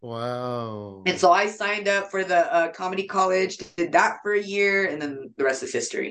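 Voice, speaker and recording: A woman speaks in an unremarkable speaking voice with an American accent, at medium pitch and a moderate pace. Her intonation is lively, with hardly any pauses. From US West Coast, San Jose, California. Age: 30s. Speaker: comedian. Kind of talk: casual chat. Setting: video call.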